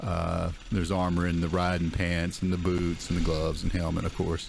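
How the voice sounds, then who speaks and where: Audible room echo surrounds a man's very deep, low voice. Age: 60s. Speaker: dirt bike vlogger. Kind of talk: casual riding commentary. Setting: outdoors riding a dirt bike through woods. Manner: hesitant, many fillers.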